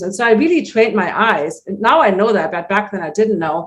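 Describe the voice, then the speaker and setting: A fairly quick pace in a German accent. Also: woman. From Germany, Hamburg. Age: 60s. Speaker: natural vision teacher. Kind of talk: interview. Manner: animated.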